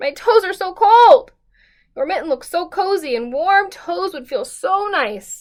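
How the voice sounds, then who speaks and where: In a put-on character voice, a woman talks at an extremely high pitch. Her pace is fairly slow. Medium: read story.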